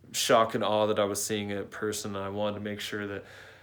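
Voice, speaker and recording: Audible room echo follows a man speaking at a fairly low pitch. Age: 30s. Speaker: car builder vlogger. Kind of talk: casual vlog talk. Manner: softened, less aggressive delivery.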